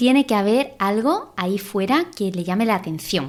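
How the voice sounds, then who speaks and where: A woman with a Sevillian accent, moderate pace and ordinary pitch variation. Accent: Andalusian (Seville). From Spain, Seville. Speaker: podcast host on creativity. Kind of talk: podcast monologue. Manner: animated, gesturing; hesitant, repeats words.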